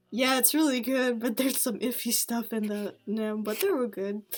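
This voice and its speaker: With music in the background, a woman speaks at a fairly high pitch with ordinary pitch variation. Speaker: amateur artist, vlogger. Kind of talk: casual show-and-tell monologue. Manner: halting, many filler words.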